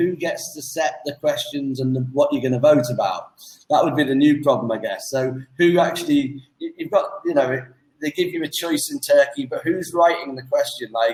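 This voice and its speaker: Fairly quick speech from a man, with an English accent. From England. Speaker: online English tutor. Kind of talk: casual chat. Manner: fast.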